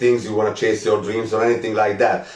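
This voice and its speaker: With a Hungarian accent, a man talks at a medium pitch, with audible room echo and noticeable background noise. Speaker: spiritual teacher. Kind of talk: live stream talk. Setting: live stream.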